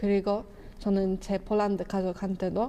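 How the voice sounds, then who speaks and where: Spoken at a moderate pace in a Polish accent, the voice has a dark, mellow tone and monotone, flat intonation. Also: woman. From Poland. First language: Polish (speaking Korean). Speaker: YouTuber, film reviewer. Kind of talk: casual vlog talk, movie review.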